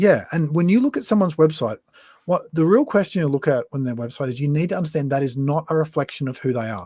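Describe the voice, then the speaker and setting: Very fast speech in a rural Queensland accent, with ordinary pitch variation, comes through a very clean recording with a silent background and a dry, close sound with no echo. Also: man. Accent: rural Queensland Australian. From Australia, western Queensland. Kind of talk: casual interview on live stream. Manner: casual, plain-spoken.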